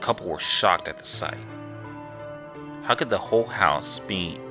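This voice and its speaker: A man is speaking. Music plays in the background. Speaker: horror story narrator. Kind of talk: horror story narration.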